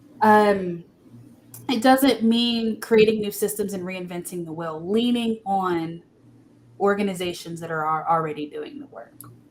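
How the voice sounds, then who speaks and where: An unremarkable speaking voice from a woman, medium in pitch and fairly slow, with ordinary pitch variation and big swings in loudness. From Texas, Austin area. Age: 20s. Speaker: political candidate. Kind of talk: interview. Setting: live podcast stream.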